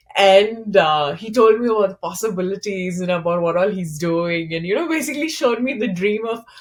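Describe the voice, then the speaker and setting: The voice is animated, with lively intonation, a fairly quick pace and hardly any pauses. Background noise is noticeable. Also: woman, medium pitch for a woman. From India, Kolkata. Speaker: startup founder. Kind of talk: interview.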